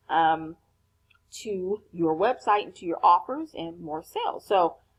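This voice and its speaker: A woman at a fairly slow pace, with big swings in loudness. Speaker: online business coach. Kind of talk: tutorial. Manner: halting, many fillers.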